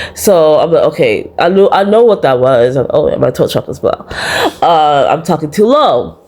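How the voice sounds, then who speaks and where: A woman's fairly slow delivery carries over noticeable noise in the background. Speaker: vlogger. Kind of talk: personal vlog monologue. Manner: soft-spoken, talks low.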